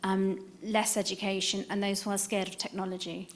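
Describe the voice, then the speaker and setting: A woman with an English accent, at a moderate pace. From England. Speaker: dentist with Parkinson's, patient advocate. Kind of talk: conference audience comment.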